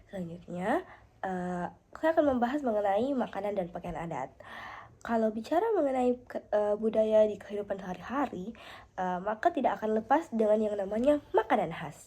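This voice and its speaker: At a moderate pace, a woman speaks in a dark, mellow tone, her fairly high pitch carried by lively intonation. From South Sulawesi, Indonesia (Pangkep). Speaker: university student. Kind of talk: class assignment presentation. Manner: halting with fillers.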